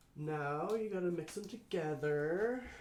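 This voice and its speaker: The room echo is audible around this man. His pitch swings very widely. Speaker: resin artist and co-host of a home livestream. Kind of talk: casual livestream chat while demonstrating a craft. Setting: at home, livestream. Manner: mumbling.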